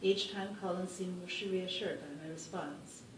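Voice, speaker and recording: A woman at a medium pitch speaks with fairly even intonation over noticeable background noise. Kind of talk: personal story read aloud.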